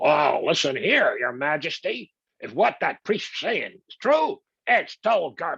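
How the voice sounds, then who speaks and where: Using a put-on character voice, the speaker talks at a fairly high pitch and a fairly slow pace. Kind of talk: casual, blunt.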